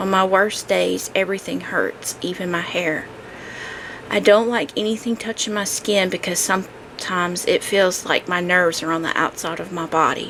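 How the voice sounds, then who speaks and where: A woman speaks at a moderate pace and a medium pitch, with noticeable background noise behind her. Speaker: podcaster sharing abuse recovery. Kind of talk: personal testimony monologue. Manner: halting, speech edited for mistakes.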